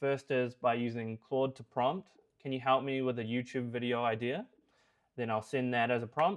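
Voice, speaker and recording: A man with a New Zealand accent, medium pitch and a fairly quick pace. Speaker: software developer. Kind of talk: product review tutorial.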